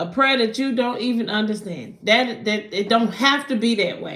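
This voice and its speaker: Animated in tone, a woman with a Southern US accent speaks at a fairly slow pace in a fairly high pitch, with ordinary pitch variation. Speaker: spiritual card reader. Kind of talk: live stream tarot reading. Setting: livestream at night.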